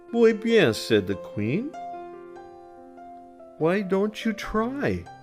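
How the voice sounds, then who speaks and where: A man speaks in a calm, soothing tone with music in the background. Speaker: storyteller. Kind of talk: children's bedtime story reading.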